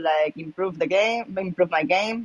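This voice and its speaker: A woman's fairly low voice with a Spanish accent. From Spain, Malaga. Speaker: professional poker player. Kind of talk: casual interview. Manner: casual, many filler words.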